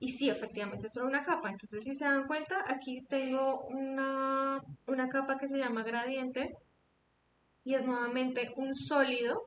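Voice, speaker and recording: A woman talks at a moderate pace in a high voice with fairly even intonation. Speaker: After Effects instructor. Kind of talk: online tutorial.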